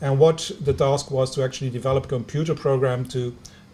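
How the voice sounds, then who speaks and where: With a Flemish accent, a man speaks at a moderate pace in a dark, mellow, somewhat breathy tone, his pitch medium and his intonation fairly even. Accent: Belgian Dutch-speaker accent in English. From Belgium, Ghent (Flemish). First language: Dutch. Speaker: university lecturer in engineering. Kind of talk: lecture. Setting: video conference. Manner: halting, many fillers.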